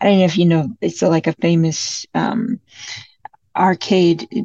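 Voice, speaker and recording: With an American accent, this voice moves at a fairly slow pace, somewhat breathy, with ordinary pitch variation. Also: woman. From US, Detroit. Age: 20s. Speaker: singer-songwriter. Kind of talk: interview.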